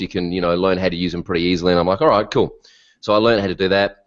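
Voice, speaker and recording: Against a quiet background, a man speaks in a very deep, low pitch with an Australian accent. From Australia (Melbourne). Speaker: WordPress consultant. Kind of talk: interview. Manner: animated.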